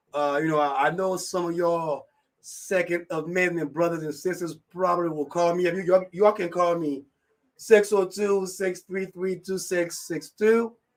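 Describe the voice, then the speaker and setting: Pitched high for a man, this voice keeps fairly even intonation at a moderate pace. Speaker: radio show host. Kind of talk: live radio talk. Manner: casual, halting with repetitions.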